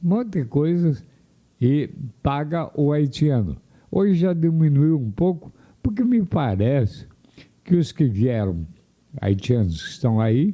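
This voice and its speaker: A man with a fairly high pitch and a dark, mellow tone speaks at a fairly slow pace, with very wide pitch swings and long, frequent pauses. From Paraná, Brazil (União da Vitória). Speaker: radio commentator. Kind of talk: opinion commentary. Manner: conversational with hesitations.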